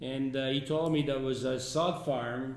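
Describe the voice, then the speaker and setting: A man with an Italian accent, medium in pitch, with fairly even intonation and audible room echo. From Italy. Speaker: resort founder and businessman. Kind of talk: interview. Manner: halting.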